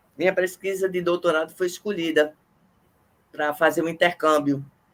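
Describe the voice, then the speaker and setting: This woman has a fairly low-pitched voice. She is the one speaking. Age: 60s. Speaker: microbiologist interviewer. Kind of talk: casual interview chat. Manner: animated.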